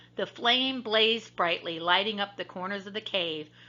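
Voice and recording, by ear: Natural-voiced reading aloud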